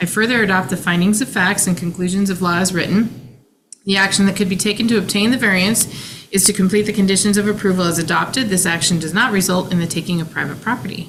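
A woman at a medium pitch and a very fast pace, with audible room echo and noticeable background noise. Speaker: hearing examiner. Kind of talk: public hearing. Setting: conference room. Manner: formal.

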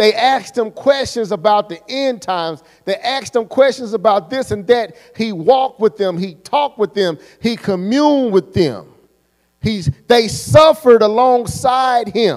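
Over a quiet background, a man talks at a fairly slow pace. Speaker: preacher. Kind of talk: sermon. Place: church. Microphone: handheld.

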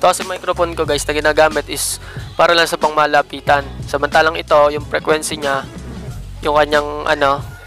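A fairly quick, monotone delivery with flat intonation, dry with no echo, over clear music in the background. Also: man. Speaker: vlogger reviewing a microphone. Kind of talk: casual review vlog. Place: home room. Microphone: lapel.

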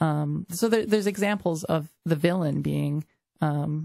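A woman speaks at a fairly slow pace in a fairly low voice with ordinary pitch variation, the sound dry and close with no echo. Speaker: co-host. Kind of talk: casual chat. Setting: studio.

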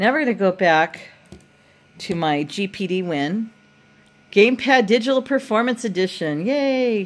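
A woman talks at a fairly slow pace with lively intonation. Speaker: home tech demonstrator. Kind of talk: casual tutorial commentary. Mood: playful, joking. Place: home room. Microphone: phone near.

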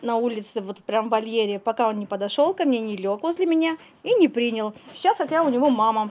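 A woman uses a fairly high pitch with very wide pitch swings. Her pace is fairly quick. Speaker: animal trainer. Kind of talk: interview. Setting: outdoors. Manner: halting. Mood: earnest, slightly embarrassed. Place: farm machine. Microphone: handheld.

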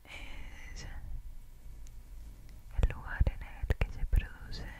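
A woman is whispering. Her pace is very slow. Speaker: ASMR creator. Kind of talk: soft-spoken ASMR relaxation talk. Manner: intimate whisper very close to mic. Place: home room. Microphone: studio mic.

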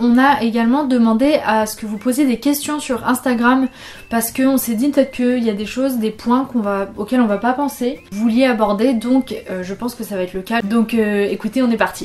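A woman's fairly quick speech with fairly even intonation. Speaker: video host. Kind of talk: casual vlog chat on a serious topic. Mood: calm, serious, gentle. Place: home room.

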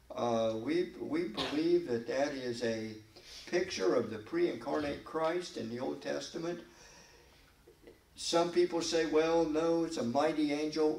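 A man at a fairly slow pace, lively intonation and audible room echo. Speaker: pastor. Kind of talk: Bible study sermon. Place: church. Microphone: podium.

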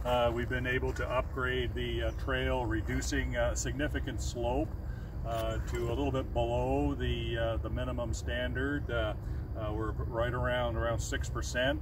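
In a dry recording with no echo but noticeable background noise, a man speaks in a very deep, low voice with monotone, flat intonation. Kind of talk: interview answer. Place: forest. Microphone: camera far.

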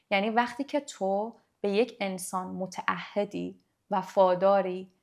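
Medium in pitch, a woman speaks at a fairly slow pace. The background is quiet. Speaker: podcast guest, life coach on manifestation. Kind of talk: casual interview chat. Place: studio. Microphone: studio mic.

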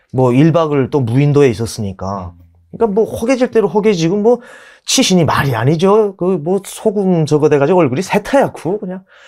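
Pitched high, a man's voice swings very widely as he talks at a fairly quick pace against a quiet background. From North Korea. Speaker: North Korean defector, YouTuber; YouTuber. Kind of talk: interview. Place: studio.

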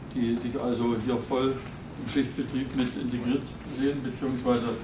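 There is noticeable background noise. A man talks at a moderate pace. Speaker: visiting politician. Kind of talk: informal speech to workers. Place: hall. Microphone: camera far.

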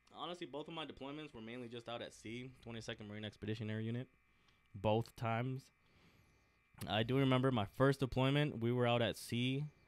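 An ordinary speaking voice from a man with an American accent, medium in pitch, fairly quick, fairly even in intonation, and with big swings in loudness. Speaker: Marine Corps veteran, aviation mechanic. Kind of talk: casual interview.

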